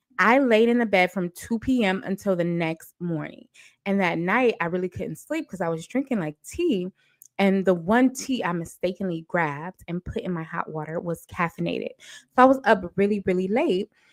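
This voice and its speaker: A woman with a medium pitch speaks at a moderate pace in an animated tone with lively intonation, the sound dry and close with no echo. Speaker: livestream gossip host. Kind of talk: casual live stream chat. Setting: live stream at home.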